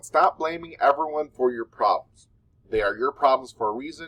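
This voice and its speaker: Recorded dry and close with no echo, a man speaks with an American accent. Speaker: mental health podcaster, social worker. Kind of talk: casual advice monologue. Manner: halting, filler-heavy.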